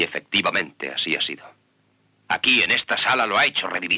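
The sound is dry and close with no echo as a man speaks at a moderate speed. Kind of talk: performed courtroom monologue from a film, dubbed Spanish, solemn and confessional. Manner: grave, measured and impassioned, building to bitter self-accusation.

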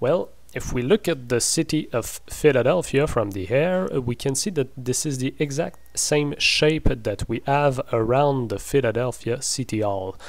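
A man with a French Canadian accent, medium pitch, ordinary pitch variation and a fairly slow pace. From French Canada. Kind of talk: casual talk to camera. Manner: hesitant, many fillers.

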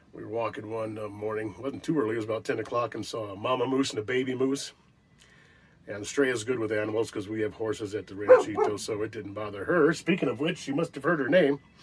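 A man talks at a very fast pace with ordinary pitch variation. Loud background noise fills the recording. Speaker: actor, RV vlogger. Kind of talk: casual vlog chat. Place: home room. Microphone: phone near.

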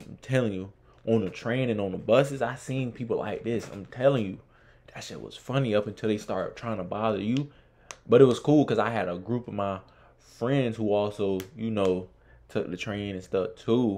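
A man talks at a moderate pace in a dark, mellow tone, with ordinary pitch variation and big swings in loudness. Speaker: reaction video host. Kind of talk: casual reaction commentary. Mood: amused, laughing.

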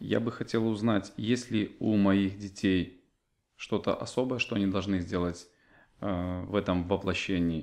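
A fairly low-pitched man speaks at a fairly slow pace with fairly even intonation. His loudness stays very even against a quiet background. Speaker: seminar participant asking questions. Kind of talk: question from audience. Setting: seminar hall with live audience. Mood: hesitant, earnest asking. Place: home room. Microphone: camera far.

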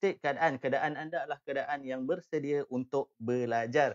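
A man speaks at a fairly slow pace, the background quiet. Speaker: live web-business trainer. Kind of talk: live educational talk. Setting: live stream. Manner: hesitant, filler-heavy. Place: home room. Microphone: webcam.

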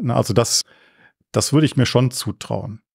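A man with an unremarkable speaking voice, medium pitch and ordinary pitch variation, at a moderate pace, in a dry, close sound with no echo and a very clean recording with a silent background. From Germany, Cologne. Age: 60s. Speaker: culture association chairman. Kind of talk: interview.

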